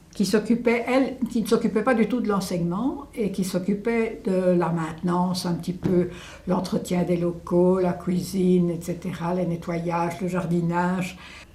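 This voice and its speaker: A woman at a medium pitch, fairly slow, with ordinary pitch variation, amid audible room echo and noticeable background noise. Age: 80s+. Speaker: elderly local witness. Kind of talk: testimony interview. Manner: hesitant, with fillers.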